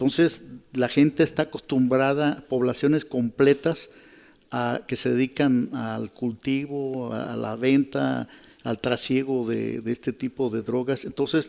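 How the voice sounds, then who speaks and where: A man with a normal speaking voice talks at a medium pitch and a fairly slow pace, his intonation fairly even. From Mexico, Michoacán. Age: 60s. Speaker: journalist and fixer. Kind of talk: radio interview testimony. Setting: live radio programme before an audience.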